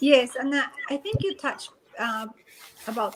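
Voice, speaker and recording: In a Spanish accent, a woman talks at a moderate pace. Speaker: YouTuber. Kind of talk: casual interview.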